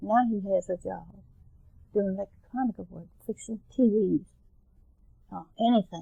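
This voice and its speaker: Speaking at a fairly slow pace with long, frequent pauses, a somewhat breathy woman with a Southern Maryland accent keeps a medium pitch and fairly even intonation while her loudness swings widely. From Calvert County, Maryland. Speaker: grandmother. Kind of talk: oral history interview answer.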